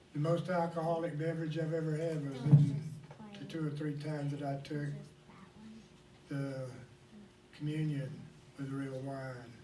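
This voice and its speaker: Long, frequent pauses from a man with an American accent, fairly high pitch and monotone, flat intonation, at a moderate pace, with audible room echo and noticeable background noise. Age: 60s. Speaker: pastor. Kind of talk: sermon.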